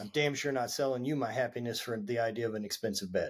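A man speaks at a very fast clip with a Southern US accent. His pitch sits in the middle range and rises and falls in an ordinary way. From Louisiana. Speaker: former athlete. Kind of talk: casual interview.

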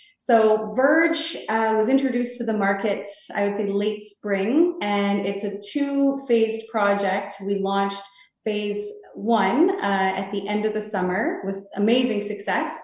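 A woman's fairly high voice with a Canadian accent, fairly slow pace, ordinary pitch variation and audible room echo. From Canada, Toronto. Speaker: real estate sales executive. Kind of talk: interview.

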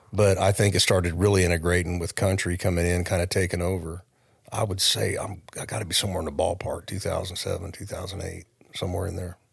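A man's very deep, low voice, somewhat breathy, very fast and monotone with flat intonation. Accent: American. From US West, California (Modesto/Oakdale area). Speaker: songwriter. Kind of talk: casual chat.

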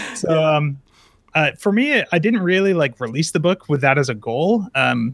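A man with an unremarkable speaking voice and fairly high pitch talks at a moderate pace, recorded with a dry, close sound and no echo. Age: 20s. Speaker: software developer. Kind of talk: interview.

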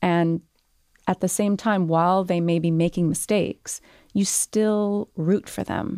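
Speaking at a fairly slow pace, a woman has a plain, everyday voice with a fairly low pitch. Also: fairly even intonation. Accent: Canadian. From Canada, Montreal roots. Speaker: author. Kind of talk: interview.

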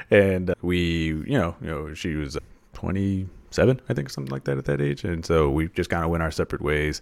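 A man with an American accent speaks at a fairly quick pace in a very deep, low pitch with ordinary variation. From Texas. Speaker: personal finance blogger and podcaster. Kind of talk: interview.

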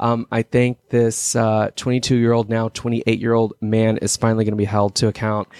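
A man with an American accent speaks in a monotone with flat intonation and very even loudness. The sound is dry and close with no echo, on a very clean recording with a silent background. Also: medium pitch for a man, fairly quick pace. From Texas. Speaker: podcast guest, case advocate. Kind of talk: casual chat.

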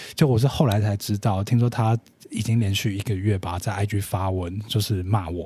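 Somewhat breathy, a man speaks with a dark, mellow tone at a fairly low pitch and a moderate pace. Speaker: influencer marketing specialist. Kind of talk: casual chat. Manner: quiet, low-energy.

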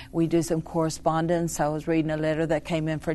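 Delivered at a fairly quick pace, a woman's very deep, low voice stays monotone and flat. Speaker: prison ministry worker. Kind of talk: casual interview.

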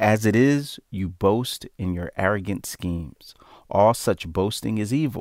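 Recorded very cleanly against a silent background, a man speaks fairly slowly in an ordinary speaking voice, fairly low in pitch with ordinary pitch variation. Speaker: Bible study participant. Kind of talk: small group Bible study conversation.

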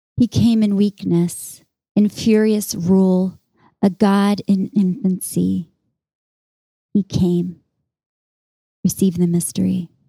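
Somewhat breathy and dark, mellow in tone, a woman speaks very slowly with long, frequent pauses, fairly even intonation and very even loudness, recorded dry and close with no echo. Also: medium pitch for a woman. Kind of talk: poem performed as a contemplative reading. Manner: slow, hushed, meditative and reverent, with measured pauses.

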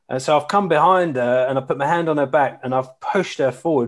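In an Essex accent, the speaker talks at a fairly quick pace with ordinary pitch variation over a quiet background. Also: man. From Essex, England. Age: 40s. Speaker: charity CEO. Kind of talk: casual interview. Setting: remote call from home.

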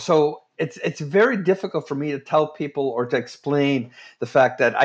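With a Canadian accent and an unremarkable speaking voice, a man talks at a moderate pace and fairly high pitch, his pitch varying in an ordinary way. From Ontario, Curve Lake First Nation. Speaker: playwright and humorist. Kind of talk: interview.

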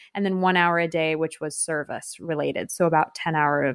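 An ordinary speaking voice with an American accent talks at a moderate pace, with ordinary pitch variation. The sound is dry and close with no echo, over a quiet background. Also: woman. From California. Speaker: yoga teacher and community founder. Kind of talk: interview.

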